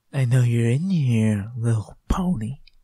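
A put-on character voice sits at a low-to-middle pitch. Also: fairly slow pace. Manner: brooding, intimidating, menacing.

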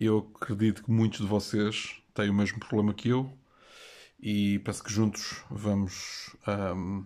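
A man talks with a European Portuguese accent and a dark, mellow tone. He speaks at a fairly slow pace. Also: quiet background. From Portugal. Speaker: YouTube collector channel host. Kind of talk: comedic vlog monologue. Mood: playful, mock-serious. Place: home room. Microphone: phone near.

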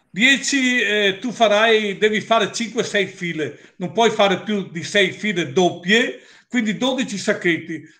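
Over a quiet background, a raised, projected voice with a bright, sharp tone moves at a very slow pace with lively intonation. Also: man. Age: 60s. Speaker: company owner presenting products; presenter. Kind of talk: product presentation with Q&A. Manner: assertive. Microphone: webcam.

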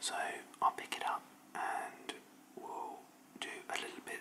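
Someone whispers at a very slow pace. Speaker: cheese judge and ASMR creator. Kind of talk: ASMR whispering and tapping video. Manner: whispered.

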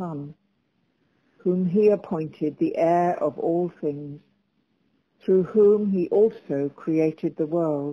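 A woman's fairly low voice at a slow pace, with ordinary pitch variation.

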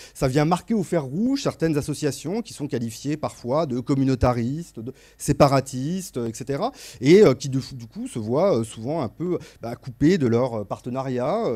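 A man with a fairly high pitch and a dark, mellow tone talks at a fairly slow pace, his intonation lively and his loudness swinging widely, over a quiet background. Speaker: sociologist; panelist. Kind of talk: panel discussion. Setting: stage with audience. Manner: halting, repeats words. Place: hall. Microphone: handheld.

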